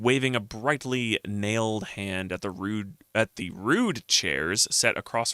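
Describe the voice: Plain reading aloud fills the recording.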